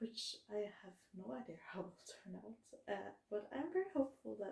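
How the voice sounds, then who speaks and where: A woman mumbles at a fairly slow pace with vocal fry and a dark, mellow tone. Her medium-pitched voice has lively intonation. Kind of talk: casual talk to camera. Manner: mumbling, slow-paced.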